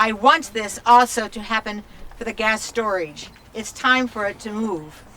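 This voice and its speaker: Someone with an American accent talks at a fairly slow pace, with ordinary pitch variation and big swings in loudness, over noticeable background noise. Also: woman, fairly high pitch for a woman. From upstate New York, Finger Lakes. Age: 70s. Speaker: local resident speaking at protest. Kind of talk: protest speech.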